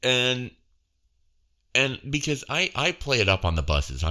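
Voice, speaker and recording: This man has a medium pitch, a bright, sharp tone and vocal fry, with very wide pitch swings. He talks at a fairly slow pace with very even loudness. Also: very clean recording, silent background. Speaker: bus tour announcer.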